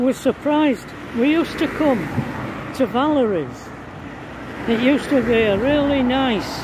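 Long, frequent pauses at a fairly slow pace, in a dry sound with no echo over noticeable background noise. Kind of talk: casual vlog chat. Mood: nostalgic, amused. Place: street. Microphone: phone near.

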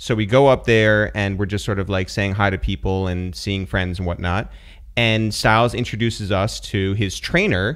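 With an American accent, a man talks at a moderate pace in a normal speaking voice, fairly low in pitch with ordinary pitch variation. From New York area. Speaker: podcast host. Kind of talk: casual podcast talk.

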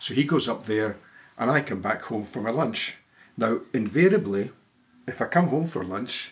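A man with a Scottish accent speaks at a moderate pace, his voice somewhat breathy and his intonation lively. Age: 70s. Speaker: retired lawyer. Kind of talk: casual interview answer. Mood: relaxed, chatty. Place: home room.

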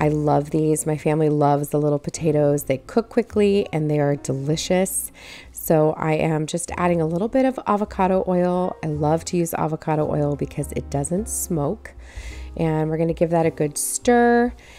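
With a very deep, low pitch and a dark, mellow tone, a woman speaks at a moderate pace. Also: ordinary pitch variation. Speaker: home cooking vlogger. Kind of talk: casual cooking tutorial. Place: kitchen.

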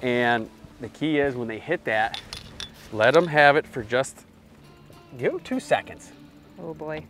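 Speech comes at a moderate pace with long, frequent pauses. The sound is dry with no echo, and faint music plays in the background. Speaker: fishing show host. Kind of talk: casual fishing commentary. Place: boat.

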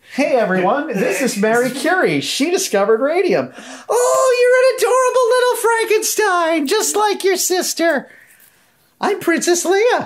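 Putting on a character voice, a man speaks at an extremely high pitch with very wide pitch swings and a moderate pace. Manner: gushing, scattered.

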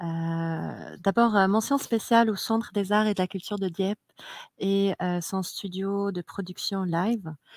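A woman speaks very slowly at a medium pitch with fairly even intonation. The sound is dry with no echo, and the background is quiet. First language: Arabic (speaking French). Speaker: event host. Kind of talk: event hosting. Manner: halting, many hesitations. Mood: relaxed, smiling. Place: stage. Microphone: headset.

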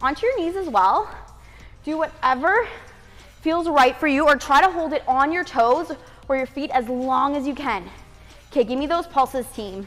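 A woman's high-pitched voice at a moderate pace, with long, frequent pauses and faint music in the background. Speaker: fitness instructor. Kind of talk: workout instruction cues. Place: home room.

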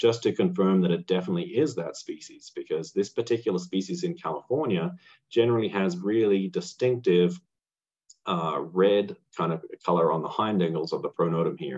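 A man talks at a fairly quick pace with an Australian accent. The background is quiet. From rural Australia. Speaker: amateur entomologist; presenter. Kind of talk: lecture. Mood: enthusiastic, friendly. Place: home room. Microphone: webcam.

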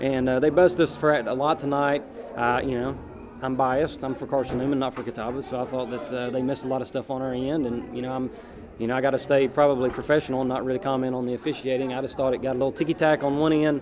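There is noticeable background noise as a man speaks very fast in a monotone, flat intonation. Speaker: basketball head coach. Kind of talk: interview answer. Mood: frustrated after a loss. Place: hall. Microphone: handheld.

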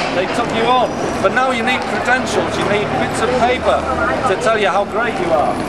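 A man speaks at a moderate pace. Loud noise sits behind his voice. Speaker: street preacher. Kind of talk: street preaching. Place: street. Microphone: camera far.

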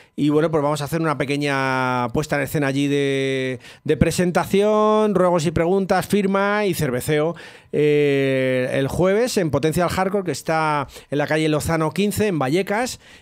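Against a quiet background, a man talks fairly slowly at a fairly high pitch with ordinary pitch variation. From Spain. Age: 50s. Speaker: rap-rock musician and writer; guest. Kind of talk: interview; interview answer. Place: studio. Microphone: studio mic.

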